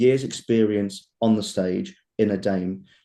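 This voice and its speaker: The voice has a dark, mellow tone and an East Midlands accent. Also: man. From England, Leicester. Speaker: pantomime dame actor. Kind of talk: casual interview chat. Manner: animated.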